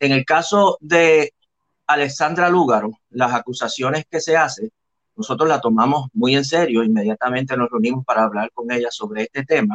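This is a man with a plain, everyday voice at a medium pitch. He keeps a moderate pace and ordinary pitch variation. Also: dry, close sound with no echo. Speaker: professor, historian and senate candidate. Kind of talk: interview. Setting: video call.

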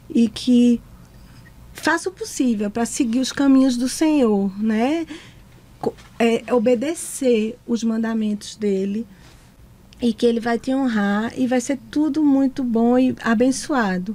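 A woman speaks at a high pitch with ordinary pitch variation. Her pace is very slow, broken by long, frequent pauses. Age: 40s. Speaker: psychologist and school director. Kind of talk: testimony. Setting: studio.

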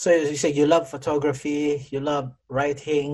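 A man speaks at a fairly slow pace in a fairly high pitch, his voice somewhat breathy. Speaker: podcast host. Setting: video call.

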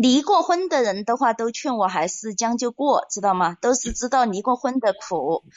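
With a plain, everyday voice, a woman speaks at a moderate pace and a fairly high pitch with lively intonation. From Hunan, China. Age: 30s. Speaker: caller. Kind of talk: personal story on call-in show.

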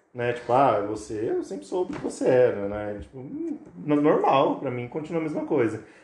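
A man at medium pitch with ordinary pitch variation and a moderate pace, with audible room echo. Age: 30s. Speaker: barber. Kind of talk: casual chat.

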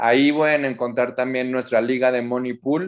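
A man speaks with monotone, flat intonation. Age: 40s. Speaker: public relations director and activist. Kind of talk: interview.

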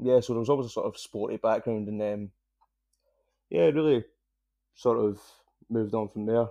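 Over a quiet background, a man with a strong Scottish accent speaks in a dark, mellow tone at medium pitch. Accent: thick Scottish. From Scotland. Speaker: triathlete and cancer survivor. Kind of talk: casual interview. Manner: nervous, enunciating carefully.

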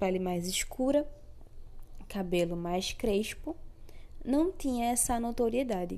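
With a dark, mellow tone and fairly high pitch, a woman speaks at a very slow pace with lively intonation and long, frequent pauses. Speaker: podcast host, educator. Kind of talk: solo podcast monologue.

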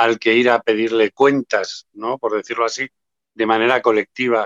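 An ordinary speaking voice from a man, fairly even in intonation, with a dry, close sound and no echo. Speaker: association president, memory activist. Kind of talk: interview.

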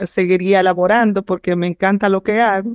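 The sound is dry and close with no echo as a woman speaks in a medium pitch. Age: 50s. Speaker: physician. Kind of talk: interview.

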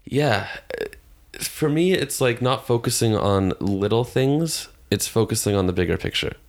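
Speaking in a Canadian accent, a man has a plain, everyday voice at medium pitch, with lively intonation at a fairly slow pace. His loudness stays very even, and the recording is very clean with a silent background. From Toronto, Canada. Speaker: rock musician. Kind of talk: casual chat. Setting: home living room studio.

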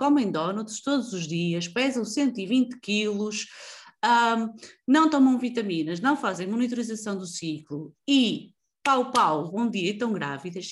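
On a very clean recording with a silent background, a woman speaks somewhat breathily at a fairly slow pace, her fairly high pitch making very wide swings. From northern Portugal, Avintes (Porto area). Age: 30s. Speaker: podcast host, copywriter. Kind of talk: casual interview chat.

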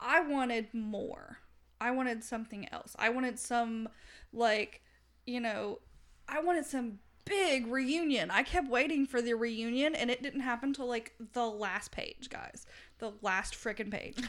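Speaking in a Southern US accent, a woman talks at a fairly slow pace with a high pitch and ordinary pitch variation. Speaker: podcast host, book reviewer. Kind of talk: casual chat, book discussion.

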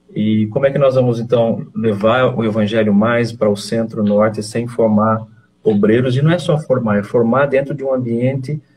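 A somewhat breathy male voice at medium pitch, moderate in pace, with fairly even intonation. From Brazil, interior of São Paulo (Leme). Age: 50s. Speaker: missionary. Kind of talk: interview, personal testimony.

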